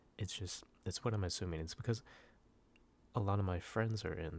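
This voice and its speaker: Here a man speaks with fairly even intonation. The recording is very clean, with a silent background. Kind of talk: ASMR soft-spoken casual talk to camera. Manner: soft-spoken, rambling, hesitant.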